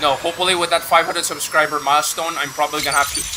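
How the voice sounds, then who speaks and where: A man talks very fast at a high pitch over noticeable background noise. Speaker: gaming streamer. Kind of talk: live gameplay stream chat. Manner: halting, repetitive.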